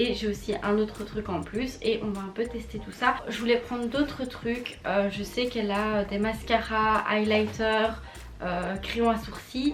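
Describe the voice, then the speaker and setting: A woman at a fairly slow pace, fairly high in pitch with fairly even intonation, amid audible room echo and music in the background. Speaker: beauty youtuber. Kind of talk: casual product review vlog.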